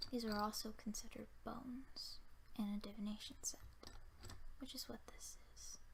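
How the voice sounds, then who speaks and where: A soft-spoken voice at a moderate pace, with long, frequent pauses and noticeable background noise. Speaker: ASMR creator. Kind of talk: ASMR talk to camera.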